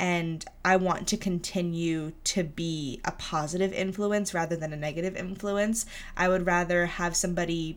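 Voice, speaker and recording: Using a normal speaking voice, a woman speaks at a moderate pace with a fairly low pitch and fairly even intonation. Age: 20s. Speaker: podcast host. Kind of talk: solo monologue about personal growth. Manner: casual, with filler words.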